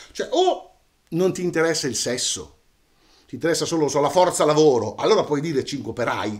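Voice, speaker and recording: Against a quiet background, a man with a fairly high pitch talks at a moderate pace with ordinary pitch variation and long, frequent pauses. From Italy, Romagna (Cesena); Italy. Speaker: storyteller. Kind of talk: casual monologue to camera. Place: home room.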